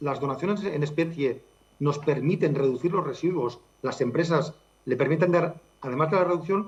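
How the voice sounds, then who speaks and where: A man with a high voice talks at a moderate pace, his pitch varying in an ordinary way. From Catalonia. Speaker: charity director. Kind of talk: interview.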